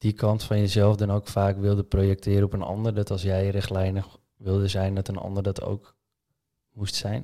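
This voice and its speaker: Fairly low in pitch, a man speaks in a dark, mellow tone with monotone, flat intonation at a moderate pace. The recording is very clean, with a silent background. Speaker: podcast host. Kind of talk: podcast interview.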